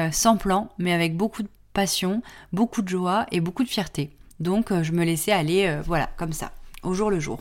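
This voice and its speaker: A woman speaks at a fairly slow pace and a medium pitch, with ordinary pitch variation. The recording is very clean, with a silent background. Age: 20s. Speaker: podcast host and graphic design studio founder. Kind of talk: casual solo podcast monologue. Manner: hesitant, many fillers.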